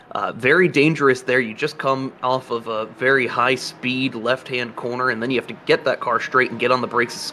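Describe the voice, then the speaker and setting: With an American accent, a man speaks at a fairly quick pace with hardly any pauses, a medium pitch and fairly even intonation, over noticeable background noise. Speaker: sim racing commentator. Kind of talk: live commentary.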